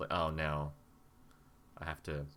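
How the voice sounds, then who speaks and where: A man's voice has a bright, sharp tone and moves at a moderate pace. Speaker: language learner, conversation podcast host. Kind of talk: casual chat. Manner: stutters, halting.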